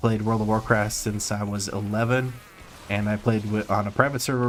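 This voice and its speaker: Noticeable background noise sits behind a man speaking at a fairly quick pace. His fairly low voice keeps a fairly even intonation. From Croatia. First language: Croatian. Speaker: streamer. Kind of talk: gaming stream chat. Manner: casual, profane.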